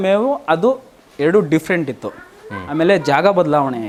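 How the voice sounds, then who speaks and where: There is noticeable background noise behind this man. His voice is fairly high-pitched with lively intonation. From Doddaballapur, Bangalore Rural, Karnataka. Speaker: dairy farmer. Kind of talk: interview on farm.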